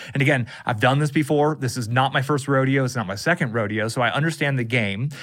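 With an American accent, a man talks at a very fast pace with ordinary pitch variation. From California. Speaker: online marketer. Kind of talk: casual chat.

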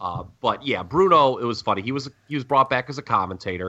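A loud man with a bright, sharp tone and medium pitch speaks at a moderate pace, his pitch swinging very widely. The background is quiet. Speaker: wrestling podcast co-host. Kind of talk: casual chat. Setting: at home.

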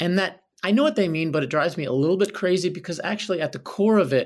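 Recorded very cleanly against a silent background, a man speaks in an American accent. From Philadelphia. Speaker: Broadway actor and singer. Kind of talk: casual interview. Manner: animated.

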